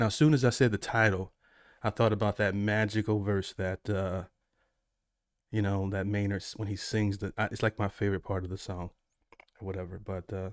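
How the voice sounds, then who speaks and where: In an American accent, a man with a fairly low pitch and monotone, flat intonation speaks at a fairly quick pace with long, frequent pauses, in a dry, close sound with no echo on a very clean recording with a silent background. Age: 40s. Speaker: music reaction streamer. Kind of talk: live stream chat. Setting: live stream. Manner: casual, halting.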